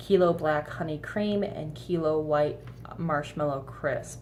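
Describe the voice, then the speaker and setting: A woman with a very deep, low pitch and vocal fry speaks with fairly even intonation amid audible room echo. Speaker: vape flavor reviewer. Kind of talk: casual vlog review. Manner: hesitant, many fillers.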